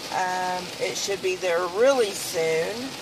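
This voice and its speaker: Noticeable background noise runs under the sound, which is dry with no echo. A woman speaks at a very slow pace. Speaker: crafting vlogger. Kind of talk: casual vlog chat. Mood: relaxed, chatty. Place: car. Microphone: phone near.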